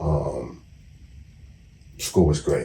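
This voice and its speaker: Talking at a very slow pace, a man speaks with a London accent. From South East London. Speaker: former gang member and author. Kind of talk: interview.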